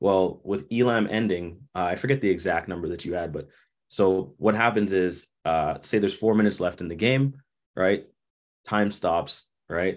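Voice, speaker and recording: In a Toronto accent, a man speaks with a very deep, low pitch. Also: ordinary pitch variation, moderate pace. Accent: Canadian (Toronto). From Canada, Toronto. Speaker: basketball coach and former pro player. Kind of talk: casual interview.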